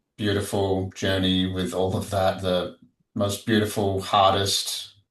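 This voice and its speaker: In an Australian accent, a man speaks at a fairly slow pace with a fairly low pitch and monotone, flat intonation. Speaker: psychedelic integration coach. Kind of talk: podcast interview. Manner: casual.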